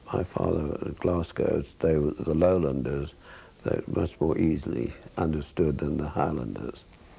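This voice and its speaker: Very deep and low, a man's voice carries vocal fry and a dark, mellow tone at a moderate pace with fairly even intonation. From South Africa (Kimberley), Scottish parents. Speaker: retired cardiac surgeon. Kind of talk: interview. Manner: halting.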